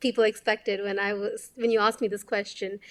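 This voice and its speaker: A woman with a Kannada accent at a very fast pace, in a dry, close sound with no echo on a very clean recording with a silent background. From India, Bengaluru. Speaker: doctor and climate advocate. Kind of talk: interview.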